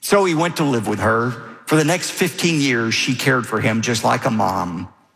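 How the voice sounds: The clip features a natural reading voice whose intonation is lively.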